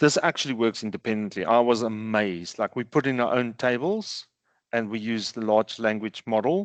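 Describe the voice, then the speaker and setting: Speaking at a fairly quick pace in a normal speaking voice, a man with a fairly low pitch uses ordinary pitch variation, recorded dry and close with no echo against a quiet background. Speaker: tax accountant presenting a webinar. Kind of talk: webinar presentation with Q&A. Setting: online webinar.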